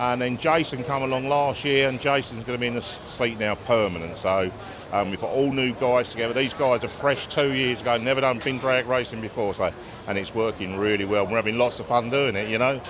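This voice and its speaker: Noticeable background noise sits behind a man talking at a fairly quick pace. His medium pitch shows ordinary pitch variation. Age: 60s. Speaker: funny car team owner. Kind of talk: interview.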